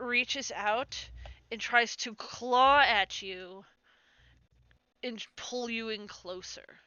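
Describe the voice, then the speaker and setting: At a very slow pace, a woman speaks in a high voice with ordinary pitch variation. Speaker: game master. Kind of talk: tabletop game session narration. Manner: halting, stuttering.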